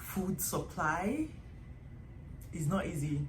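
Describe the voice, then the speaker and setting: Somewhat breathy female speech, the room's echo clearly audible. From Nigeria. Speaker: vlogger. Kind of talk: casual vlog talk.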